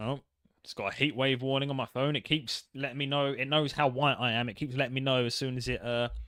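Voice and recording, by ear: Reading aloud in a natural voice, with fairly even intonation and a quiet background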